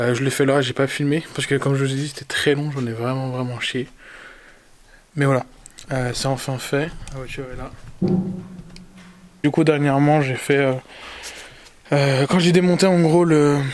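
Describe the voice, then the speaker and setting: A man speaks quietly in a fairly high pitch, leaving long, frequent pauses. Music plays in the background. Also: fairly even intonation, moderate pace. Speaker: car enthusiast youtuber. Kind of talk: casual DIY car vlog. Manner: speaking quietly; hesitant, many fillers.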